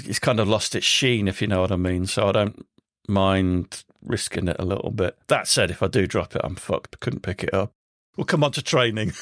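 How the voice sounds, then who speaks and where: A man with an English accent talks at a fairly quick pace, his pitch varying in an ordinary way. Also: fairly low pitch for a man, very clean recording, silent background. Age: 60s. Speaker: podcast host. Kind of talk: casual interview chat.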